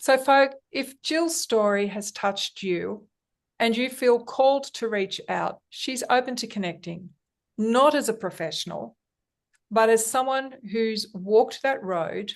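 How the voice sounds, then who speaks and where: A woman speaks with an Australian accent. Her fairly high voice carries lively intonation. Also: quiet background. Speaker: podcast host. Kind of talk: interview. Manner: hesitant.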